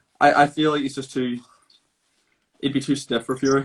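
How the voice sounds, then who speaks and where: In a British accent, a man of medium pitch talks at a very fast pace. His intonation is monotone and flat. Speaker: boxing fan on call-in show. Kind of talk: casual chat.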